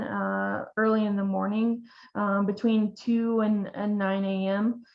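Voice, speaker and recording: Speaking with an American accent at a very slow pace, a woman keeps a monotone, flat intonation at a fairly high pitch. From Oklahoma. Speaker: veterinarian. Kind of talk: webinar lecture. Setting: online webinar. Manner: hesitant, many fillers.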